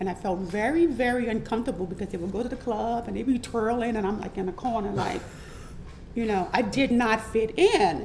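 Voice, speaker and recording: A woman speaks fairly quickly with a New Orleans accent, her pitch fairly high with ordinary variation. Noticeable background noise runs underneath. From New Orleans, Louisiana. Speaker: transgender entertainer and model. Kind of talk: interview testimony.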